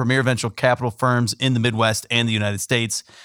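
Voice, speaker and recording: Very fast speech comes from a man at a medium pitch, with a dry, close sound with no echo on a very clean recording with a silent background. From San Diego. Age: 20s. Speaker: podcast host. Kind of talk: interview.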